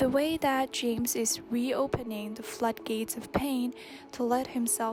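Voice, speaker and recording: Music plays in the background while a woman talks. Her voice is breathy and her pace fairly slow. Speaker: video essayist. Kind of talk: video essay narration.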